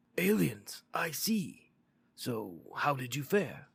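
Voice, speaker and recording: A raspy, put-on character voice at a low-to-middle pitch moves very slowly with very wide pitch swings. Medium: read story. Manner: calm, measured.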